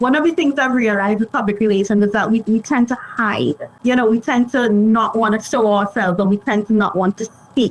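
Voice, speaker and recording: With a Caribbean accent, a woman speaks in a fairly high voice at a fairly quick pace, with hardly any pauses. Her pitch varies in an ordinary way, loudness stays very even, and background noise is noticeable. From Trinidad and Tobago. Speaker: public relations consultant. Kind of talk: podcast interview.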